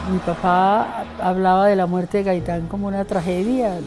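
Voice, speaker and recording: A woman at medium pitch speaks at a fairly slow pace with fairly even intonation, over noticeable background noise. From Colombia, Santander. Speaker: poet and theatre maker. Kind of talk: interview testimony.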